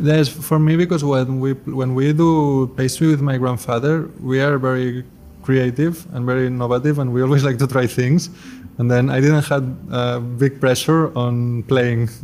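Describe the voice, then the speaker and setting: Medium pitch and fairly even intonation from a man, with music in the background. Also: moderate pace. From Spain, Barcelona. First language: Spanish or Catalan. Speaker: pastry chef and chocolatier. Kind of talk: interview.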